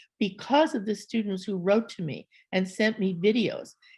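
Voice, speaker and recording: Somewhat breathy delivery at a moderate pace, with an American accent. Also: woman. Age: 70s. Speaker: artist and scholar. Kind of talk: panel conversation.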